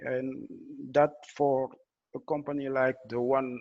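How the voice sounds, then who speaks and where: Over a quiet background, a man speaks in a monotone, flat intonation with a French accent. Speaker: blockchain engineer. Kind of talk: technical presentation. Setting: video call. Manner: halting, many fillers and restarts.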